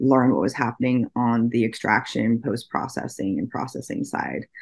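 Against a quiet background, a speaker with an American accent talks at a moderate pace in a flat, monotone intonation. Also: woman. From US Pacific Northwest (Oregon). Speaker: cannabis industry executive and UX designer. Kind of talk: interview.

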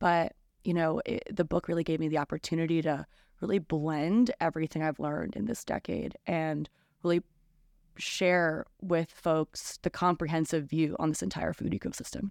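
A woman with an American accent speaks at a moderate pace, her pitch fairly low with ordinary variation. An ordinary speaking voice, captured in a very clean recording with a silent background. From New Jersey. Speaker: journalist and author. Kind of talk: interview. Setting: bookstore, in person.

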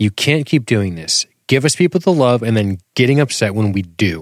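A man in a playful tone, with very wide pitch swings and a dry, close sound with no echo. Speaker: podcast host. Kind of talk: casual chat. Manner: playful, does joke accents.

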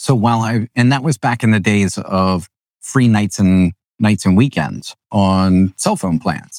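A man with a plain, everyday voice, fairly low in pitch, speaks at a fairly slow pace in an American accent. His pitch varies an ordinary amount, his loudness stays very even, and the sound is dry and close with no echo. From Pennsylvania, Lancaster County. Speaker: realtor and former engineer. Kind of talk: casual interview. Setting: home studio.

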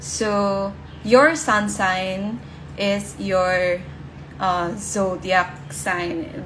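A woman at a very slow pace, medium in pitch with ordinary pitch variation, noticeable background noise behind her. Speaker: brand strategist and podcast host. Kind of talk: live Instagram session talk, rebroadcast as podcast. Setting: Instagram live session. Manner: soft-spoken, gentle; informal, with filler words.

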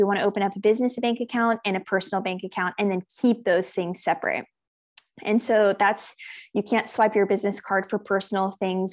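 In a normal speaking voice, a woman talks with an American accent at a medium pitch and fairly even intonation. Her pace is fairly quick, and the background is quiet. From United States, raised in South Africa from age six. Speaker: accountant. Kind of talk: interview.

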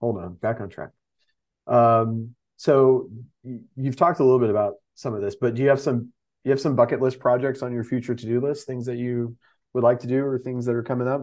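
A man with an American accent and an ordinary speaking voice, medium in pitch, with fairly even intonation and a fairly quick pace, over a quiet background. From Texas. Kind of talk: casual chat. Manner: casual, filler-heavy.

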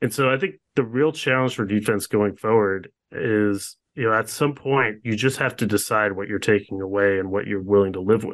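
This man has an unremarkable speaking voice with a fairly low pitch and fairly even intonation. He talks at a moderate pace over a quiet background. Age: 30s. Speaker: sports writer and author. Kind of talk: interview.

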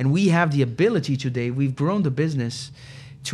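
In a Portuguese accent, a man with a fairly high, somewhat breathy voice speaks with ordinary pitch variation. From Brazil, São Paulo. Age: 40s. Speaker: recruitment business CEO. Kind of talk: interview.

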